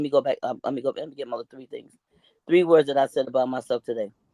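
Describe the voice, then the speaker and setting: A woman speaks with a very deep, low pitch. Her tone is animated and her intonation lively. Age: 60s. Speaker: talk show guest. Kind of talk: casual chat.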